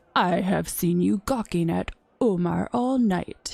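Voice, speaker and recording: A woman speaks at a medium pitch and a fairly slow pace. Her sound is dry and close, with no echo. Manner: sly, teasing.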